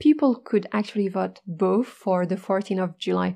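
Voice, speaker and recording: In a French accent, a woman speaks with a dark, mellow tone. Her pitch is medium, with ordinary variation. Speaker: French teacher, podcast host. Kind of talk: educational podcast monologue.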